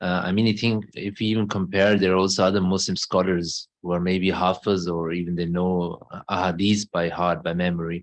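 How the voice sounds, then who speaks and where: With a very deep, low pitch, a man talks at a fairly quick pace in a flat monotone, with hardly any pauses, against a quiet background. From Germany. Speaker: missionary. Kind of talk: conversational interview. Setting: mosque.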